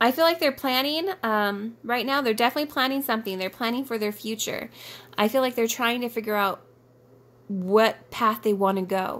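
A woman talks at a moderate pace with a fairly high pitch and ordinary pitch variation. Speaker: tarot reader. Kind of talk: tarot reading video. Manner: chatty, informal.

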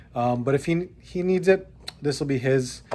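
A man speaks at a moderate pace and with fairly even intonation while light background noise sits underneath. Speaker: toy collector vlogger. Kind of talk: casual vlog chat. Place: home room. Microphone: phone near.

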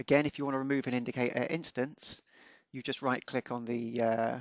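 In a dry, close recording with no echo, a man speaks fairly quickly at a medium pitch, with little pitch movement.

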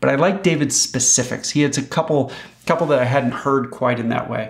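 A man's very fast speech with ordinary pitch variation. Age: 50s. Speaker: host. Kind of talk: scripted narration; interview. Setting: video call. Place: home room.

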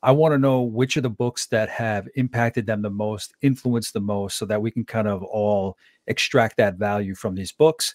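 At a fairly quick pace, a man speaks with ordinary pitch variation over a quiet background, the sound dry with no echo. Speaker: podcast host and leadership coach. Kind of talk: interview conversation. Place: home room. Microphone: studio mic.

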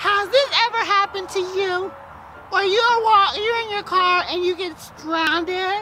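A put-on character voice with an extremely high pitch moves at a moderate pace over clear background noise. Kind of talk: improvised comedy skit, mock car-lot commercial pitch. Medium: role play.

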